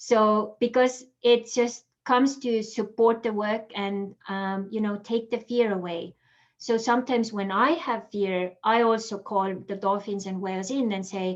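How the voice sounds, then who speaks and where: Against a quiet background, a woman speaks fairly slowly with an Estonian accent, her fairly high pitch showing ordinary variation. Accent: Estonian accent, noticeable. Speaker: holistic coach. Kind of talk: interview. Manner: casual, many fillers.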